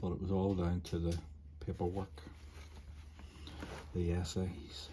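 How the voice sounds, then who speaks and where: Speaking with a Scottish accent, a man uses a very deep, low voice in a flat monotone. His tone is relaxed and his loudness stays very even. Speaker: ceramic artist. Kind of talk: casual chat. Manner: trouble pronouncing some words; meandering, relaxed.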